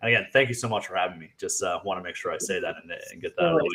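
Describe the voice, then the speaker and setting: The speaker is a man. He has an American accent. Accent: Fargo accent, occasional. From US Midwest, North Dakota (Fargo). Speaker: real estate agent and sales trainer. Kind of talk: podcast interview. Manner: casual, many fillers.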